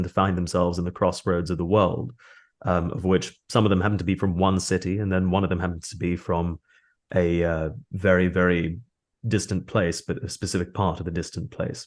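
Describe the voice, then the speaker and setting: A man's very deep, low pitch, moderate pace, and fairly even intonation over a quiet background. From Australia. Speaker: voice actor and audiobook narrator. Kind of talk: interview.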